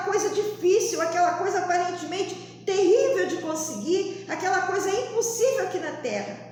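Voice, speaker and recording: A woman with an extremely high pitch and ordinary pitch variation talks at a moderate pace, hardly pausing at all. Audible room echo and noticeable background noise fill the recording. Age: 60s. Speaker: lay preacher. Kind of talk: sermon.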